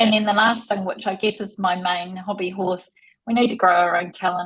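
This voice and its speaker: With a New Zealand accent, the speaker talks at a fairly quick pace in a somewhat breathy voice with fairly even intonation. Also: woman. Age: 50s. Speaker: tech industry executive. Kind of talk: interview. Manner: fast.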